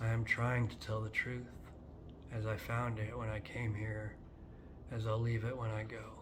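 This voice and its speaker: Through audible room echo, a man speaks at a moderate pace and medium pitch in a flat monotone, with long, frequent pauses. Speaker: poet. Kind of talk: poetry reading. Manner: halting.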